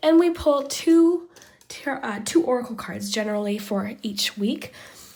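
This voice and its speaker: Pitched fairly high, a woman talks while noticeable background noise lingers behind her. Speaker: tarot reader. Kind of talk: tarot reading. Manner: soft, relaxing.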